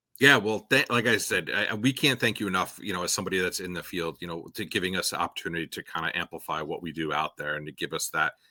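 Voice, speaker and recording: A man with an American accent talks at a very fast pace with hardly any pauses, his very deep, low voice bright and sharp in tone and his pitch variation ordinary. The recording is very clean, dry and close, with no echo and a silent background. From New York State. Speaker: parks and recreation leader. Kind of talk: casual interview chat. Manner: halting, trips over words.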